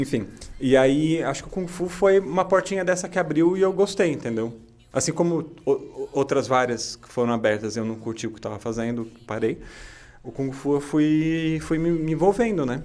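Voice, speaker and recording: A man with a fairly high pitch and an unremarkable speaking voice talks at a moderate pace. His intonation is lively, and his loudness swings widely. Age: 30s. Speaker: podcast co-host, kung fu student and musician. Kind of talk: casual chat.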